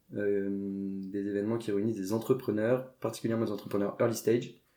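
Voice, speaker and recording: With a fairly low pitch and a dark, mellow tone, this man speaks in fairly even intonation. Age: 20s. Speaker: entrepreneur. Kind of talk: podcast interview. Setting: at the host's home. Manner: hesitant, many fillers.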